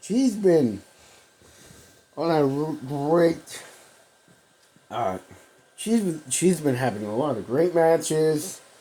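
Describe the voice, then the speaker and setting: Very slow and marked by long, frequent pauses, a man's speech carries very wide pitch swings. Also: fairly high pitch for a man. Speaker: wrestling podcast host. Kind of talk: solo podcast commentary. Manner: halting, many fillers.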